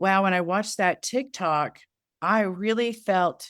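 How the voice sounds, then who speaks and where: A fairly slow pace with ordinary pitch variation. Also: woman, very clean recording, silent background. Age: 60s. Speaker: estrangement support group founder and author. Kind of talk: interview conversation.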